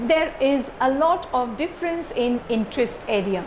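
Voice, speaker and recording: A woman's high-pitched voice at a fairly slow pace, over light background noise. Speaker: lecturer. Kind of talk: lecture. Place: classroom. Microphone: lapel.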